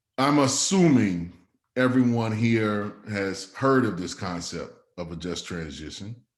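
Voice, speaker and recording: With audible room echo, a man speaks fairly slowly at a fairly low pitch, his intonation lively and his loudness swinging widely. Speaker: community organizer and speaker. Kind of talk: talk to a small group. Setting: in person with a group. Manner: halting.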